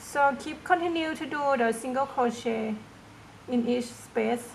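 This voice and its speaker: Against noticeable background noise, a woman with a high pitch speaks at a fairly slow pace with ordinary pitch variation. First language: not English. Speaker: crochet tutorial maker. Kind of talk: tutorial. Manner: hesitant, many fillers.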